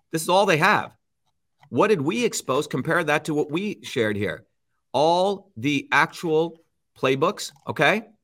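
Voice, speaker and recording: In a very clean recording with a silent background, a man speaks at a moderate pace with a high pitch, a bright, sharp tone and lively intonation. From India. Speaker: scientist and political candidate. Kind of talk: casual interview.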